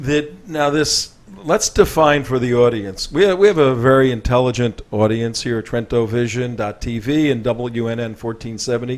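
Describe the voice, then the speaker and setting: A plain, everyday voice moves at a moderate pace with hardly any pauses. Its pitch varies in an ordinary way. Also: man, medium pitch for a man. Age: 60s. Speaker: talk show host. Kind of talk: interview.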